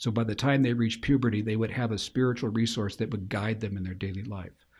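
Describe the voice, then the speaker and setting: This man has an ordinary speaking voice with ordinary pitch variation, heard against a quiet background. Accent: American. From Spokane, Washington, US Pacific Northwest. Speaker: Jesuit priest. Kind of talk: interview.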